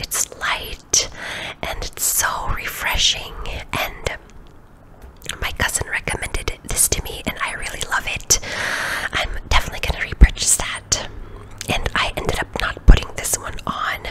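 Whispering at a fairly slow pace, a woman leaves long, frequent pauses and her loudness swings a lot, with noticeable background noise behind her. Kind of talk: ASMR self-care voiceover. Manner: soft-spoken, whispered.

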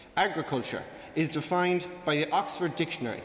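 Over light background noise and audible room echo, a man with an Irish accent speaks at a moderate pace with a high pitch. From Ireland. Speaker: student debater, team captain. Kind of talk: formal debate speech. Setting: stage with audience. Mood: persuasive, confident. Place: hall. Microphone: podium.

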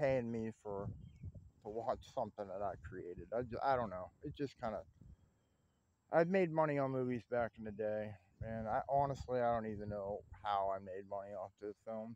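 At a moderate pace, a man speaks with ordinary pitch variation and long, frequent pauses. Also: dry sound with no echo. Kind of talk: casual vlog chat. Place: open country.

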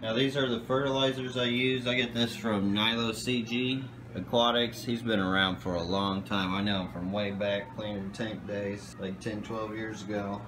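Noticeable background noise sits behind a man speaking at a moderate pace. His pitch is fairly low, and he hardly pauses at all. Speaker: aquarium hobbyist seller. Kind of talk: casual vlog chat. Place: home room. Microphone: phone near.

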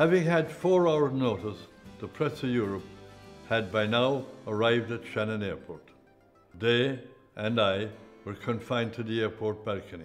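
Long, frequent pauses at a moderate pace, with faint music in the background. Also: man, ordinary pitch variation. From Ireland. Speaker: press photographer. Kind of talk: interview recollection. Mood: relaxed, wry recollection. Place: home room.

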